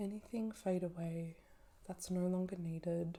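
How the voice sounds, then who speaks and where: A soft-spoken woman's voice, dark and mellow in tone, monotone and flat, at a fairly slow pace. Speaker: naturopath and fertility educator. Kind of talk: soft-spoken ritual and oracle card reading.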